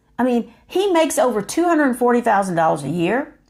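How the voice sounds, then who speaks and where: A woman speaks in an animated tone with a high pitch. Her pitch swings very widely. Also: very clean recording, silent background. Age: 50s. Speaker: YouTuber. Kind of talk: monologue to camera.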